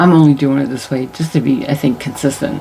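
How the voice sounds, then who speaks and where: Soft-spoken and very deep and low in pitch, a woman talks over music in the background. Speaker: tarot reader. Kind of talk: casual chat. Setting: home at night, on camera. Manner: loud when animated, otherwise quiet; soft-spoken late at night.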